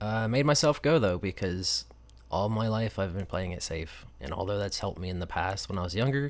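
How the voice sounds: Lively intonation from a low-voiced man with an American accent, at a fairly quick pace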